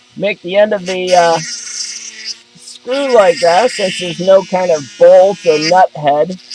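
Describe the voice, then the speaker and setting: A loud voice moves at a very slow pace with ordinary pitch variation over noticeable background noise. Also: man, high pitch for a man. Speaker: DIY repair video maker. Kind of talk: tutorial.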